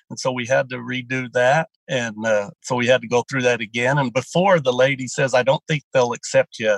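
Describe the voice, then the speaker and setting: A man with a normal speaking voice talks at medium pitch with ordinary pitch variation, the sound dry and close with no echo. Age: 60s. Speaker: dairy farmer and draft horse racer. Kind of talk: interview about weight loss.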